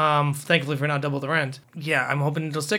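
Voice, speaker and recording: This man's pitch sits fairly high, and his delivery races along at a very fast pace. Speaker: music podcast co-host, aspiring voice actor. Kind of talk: casual chat about music history.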